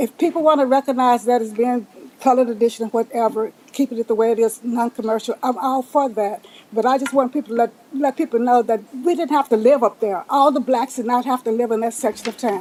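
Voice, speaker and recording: Speaking very fast with a Texan accent, a woman uses a high pitch and fairly even intonation. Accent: Texan Southern US. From Texas, Pflugerville area. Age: 80s+. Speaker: public commenter at council meeting. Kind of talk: public comment. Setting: city council chamber.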